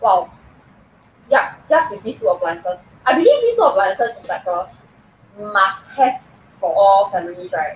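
A woman speaks at a fairly slow pace with big pitch swings. Her voice has a husky, rough edge. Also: medium pitch for a woman.

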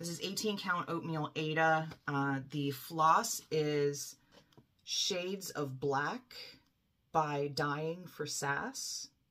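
In an American accent, a woman speaks at a very slow pace. Her pitch is very deep and low, her tone bright and sharp, with ordinary pitch variation. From Philadelphia, US. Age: 40s. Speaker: cross-stitch YouTuber. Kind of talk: casual vlog monologue. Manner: casual with frequent fillers and laughs. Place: home room. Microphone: webcam.

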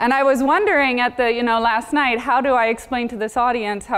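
The pitch of this woman's voice varies in an ordinary way. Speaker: conference keynote speaker. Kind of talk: conference talk. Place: stage.

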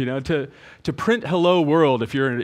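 The speaker here is male. His voice rises and falls with ordinary pitch variation. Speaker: conference presenter. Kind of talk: lecture. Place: hall. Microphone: headset.

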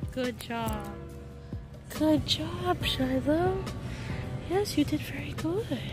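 A woman speaks at a very slow pace. The sound is dry with no echo, and clear music plays in the background. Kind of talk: casual vlog chat and dog commands. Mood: warm, praising, laughing. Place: shop.

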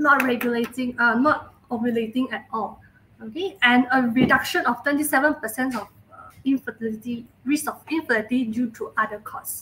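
Light background noise underlies a woman's high voice, which moves at a moderate pace with ordinary pitch variation. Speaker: presenter. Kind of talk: lecture. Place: home room.

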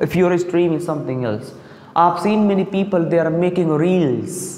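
A man's moderate-paced speech carries audible room echo. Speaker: student or trainer giving a talk. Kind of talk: classroom speech. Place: classroom. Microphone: lapel.

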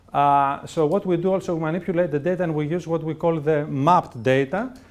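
Speaking at a fairly quick pace, a man uses ordinary pitch variation. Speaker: presenter. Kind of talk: lecture. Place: classroom.

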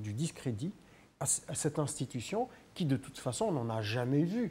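His tone is dark and mellow, somewhat breathy. The man speaks at a fairly slow pace. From Algeria. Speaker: pro-democracy activist; studio guest or commentator. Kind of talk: political talk show debate. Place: studio. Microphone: lapel.

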